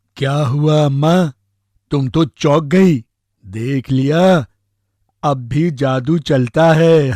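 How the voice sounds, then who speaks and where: A man's cartoonish character voice, fairly high in pitch, very slow, with long, frequent pauses. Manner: cheeky, boastful.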